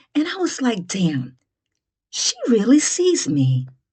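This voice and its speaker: Speaking at a very slow pace, a woman has a fairly high, somewhat breathy voice with a dark, mellow tone and very wide pitch swings. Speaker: comedian. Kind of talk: comedic monologue.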